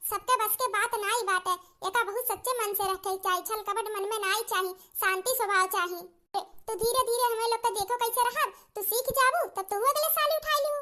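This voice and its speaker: In a cartoonish character voice, a woman speaks at an extremely high pitch and a fairly quick pace. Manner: scolding, preachy.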